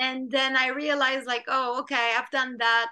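A woman in a Quebec accent uses a raised, projected voice with a high pitch and a bright, sharp tone. She speaks at a moderate pace with monotone, flat intonation. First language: French. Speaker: film director and screenwriter. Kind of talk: interview. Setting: video call.

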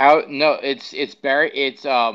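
Against a quiet background, a man with an American accent speaks at a moderate pace in a fairly high, bright, sharp voice. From New York. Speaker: podcast co-host. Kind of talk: casual chat.

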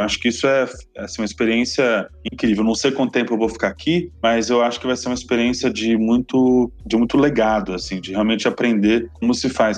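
A man's fairly quick delivery in a medium pitch, a normal speaking voice with ordinary pitch variation. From Brazil, Paraná (Londrina). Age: 20s. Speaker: municipal government official. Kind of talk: interview.

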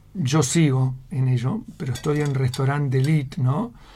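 A man's somewhat breathy voice at a very slow pace, with fairly even intonation. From Argentina. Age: 60s. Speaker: emigrant restaurant waiter. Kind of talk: radio interview.

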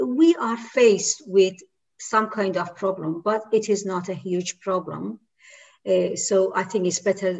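A woman with a medium-pitched voice speaks at a fairly slow pace. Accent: Persian. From Iran. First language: Persian. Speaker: women's rights activist. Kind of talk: interview discussion. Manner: hesitant with fillers.

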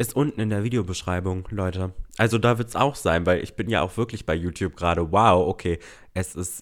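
A man with a very deep, low pitch, a fairly quick pace, ordinary pitch variation and a very clean recording with a silent background. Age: 20s. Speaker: podcast host. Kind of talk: solo casual chat. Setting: home recording. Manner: hesitant fillers.

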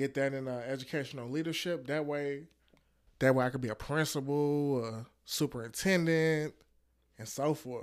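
In an ordinary speaking voice, a man with a fairly high pitch talks at a moderate pace with fairly even intonation on a very clean recording with a silent background. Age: 20s. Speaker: educator. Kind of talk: casual chat.

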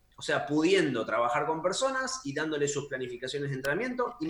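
There is audible room echo as a man speaks with very wide pitch swings. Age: 30s. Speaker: fitness coach. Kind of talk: casual chat.

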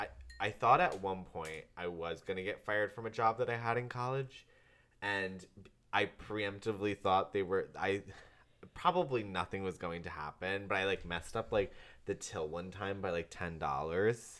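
Heard in a very clean recording with a silent background, a man with an American accent talks at a moderate pace in a fairly low pitch, his tone bright and sharp and his pitch variation ordinary. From upstate New York. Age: 20s. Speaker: podcast co-host. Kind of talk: casual chat.

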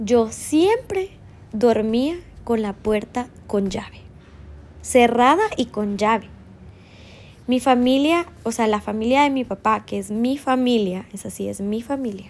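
Speaking at a very slow pace with long, frequent pauses, a woman uses a high pitch and ordinary pitch variation. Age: 30s. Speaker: podcaster. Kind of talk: personal monologue.

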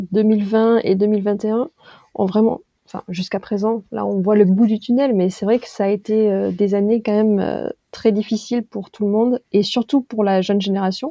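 In a plain, everyday voice, a woman talks at a fairly slow pace with a fairly high pitch and fairly even intonation. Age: 30s. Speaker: brand and content manager. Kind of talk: casual discussion.

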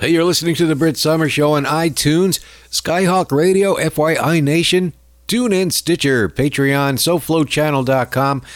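An ordinary speaking voice at a fairly slow pace, with ordinary pitch variation and very even loudness, on a very clean recording with a silent background. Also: man, fairly high pitch for a man. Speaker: radio show host. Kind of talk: radio comedy show patter, mocking rant with sound clips. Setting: radio studio broadcast. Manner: sarcastic, irreverent, gleefully rude.

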